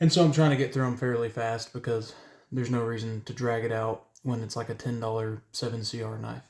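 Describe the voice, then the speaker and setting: Somewhat breathy male voice at a medium pitch, fairly quick pace and monotone, flat intonation, in a very clean recording with a silent background. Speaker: knife reviewer. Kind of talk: product review. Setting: indoors at night, home room. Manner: hesitant, with filler sounds.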